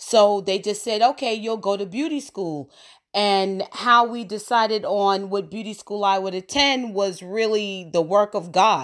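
A woman with an ordinary speaking voice and an American accent, at medium pitch, fairly slow, with ordinary pitch variation, in a very clean recording with a silent background. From New York. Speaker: podcast host and cosmetology educator. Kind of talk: casual monologue.

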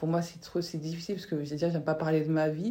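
This woman speaks with a fairly low pitch. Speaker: podcast host. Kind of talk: casual chat. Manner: curt, flat delivery.

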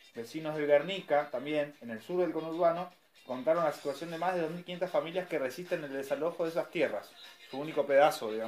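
A man with a fairly high pitch at a fairly quick pace, against noticeable background noise. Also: ordinary pitch variation. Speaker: community radio host. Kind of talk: news reading.

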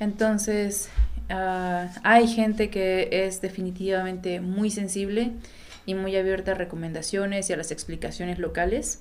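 A woman speaks at a fairly slow pace and medium pitch in a flat monotone, with audible room echo around her. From Mexico, Oaxaca. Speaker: photographer. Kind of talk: casual interview chat.

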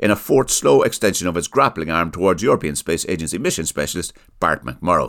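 In an Irish accent, a man with a very deep, low pitch talks at a very fast pace with lively intonation on a very clean recording with a silent background.

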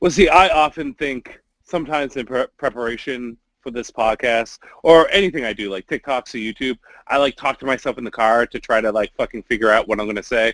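Here a man talks at a fairly quick pace in a normal speaking voice at medium pitch. His ordinary pitch variation comes through a dry, close sound with no echo. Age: 30s. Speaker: pop culture podcast co-host. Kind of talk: casual chat.

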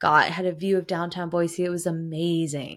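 This woman has a fairly low pitch and speaks with a western US accent. The recording is very clean, with a silent background. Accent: western US American. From Idaho, US. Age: 30s. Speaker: podcaster. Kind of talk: casual solo podcast monologue.

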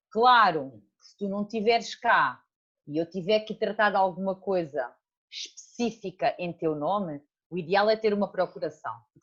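A woman speaks in an ordinary speaking voice at medium pitch and a moderate pace. Her intonation is lively, and her loudness swings widely. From Portugal, Alentejo. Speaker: bookkeeping consultant. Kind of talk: casual interview.

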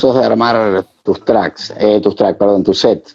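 A man at a moderate pace. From Argentina, Santa Fe province. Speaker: DJ and interview host. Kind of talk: casual chat. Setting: video call.

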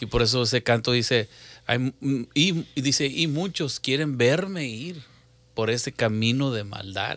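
Recorded very cleanly against a silent background, a man with an unremarkable speaking voice talks at a fairly slow pace with ordinary pitch variation. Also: medium pitch for a man. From Mexico, Matamoros, Tamaulipas. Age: 40s. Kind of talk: religious talk show chat.

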